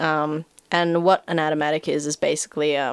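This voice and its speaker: A woman speaks with a New Zealand accent. The recording is very clean with a silent background and a dry, close sound with no echo. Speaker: actor and animator. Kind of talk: casual chat.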